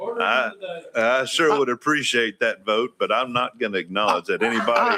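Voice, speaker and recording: A man with an Appalachian accent speaks at a moderate pace and a very even loudness. The sound is dry and close with no echo, though background noise is noticeable. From East Tennessee. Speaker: state legislator. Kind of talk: committee hearing testimony. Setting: hearing room.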